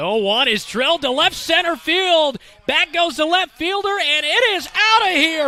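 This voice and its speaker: A man speaks in a raised, projected voice at a fairly slow pace, animated in tone with very wide pitch swings. Noticeable background noise is present. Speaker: play-by-play sports commentator. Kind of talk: live commentary. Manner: animated on big plays.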